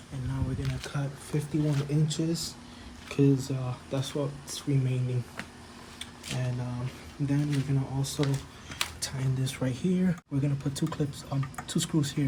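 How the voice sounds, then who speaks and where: Against noticeable background noise and audible room echo, a man with a fairly high pitch talks at a moderate pace with fairly even intonation and long, frequent pauses. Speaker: DIY home-improvement vlogger. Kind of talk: casual tutorial. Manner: mumbling; casual with many fillers.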